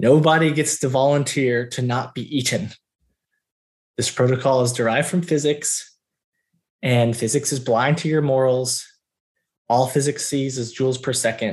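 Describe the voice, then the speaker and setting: A man with an American accent, medium pitch and a somewhat breathy voice, at a moderate pace with fairly even intonation and long, frequent pauses, against a quiet background. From US South, Georgia. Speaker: military officer and researcher. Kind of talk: long-form interview.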